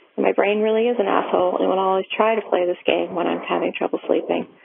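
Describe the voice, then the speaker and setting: A woman at a fairly quick pace, over noticeable background noise. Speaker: listener sharing a mantra. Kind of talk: recorded personal testimony. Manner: casual, profane.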